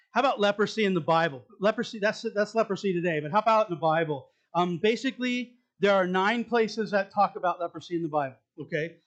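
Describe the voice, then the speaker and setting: A man speaks very fast, his intonation lively. Nothing disturbs the quiet background. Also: big swings in loudness. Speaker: pastor. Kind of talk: sermon.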